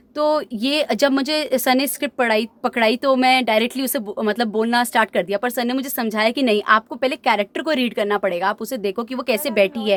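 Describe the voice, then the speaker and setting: Her pitch sits high and shifts in an ordinary way. The woman keeps a moderate pace. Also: dry, close sound with no echo. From India, Delhi region. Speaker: voice-over trainee. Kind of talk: interview answer. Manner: casual, conversational.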